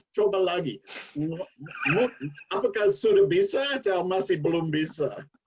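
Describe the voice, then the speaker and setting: Speaking in an English accent, this man has a high pitch. His pitch variation is ordinary. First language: English (speaking Indonesian). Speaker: former Indonesian language student, guest. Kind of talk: casual interview chat.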